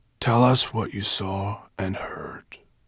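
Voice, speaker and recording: A man does a put-on character voice. His pitch sits fairly low. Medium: read story. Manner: weary.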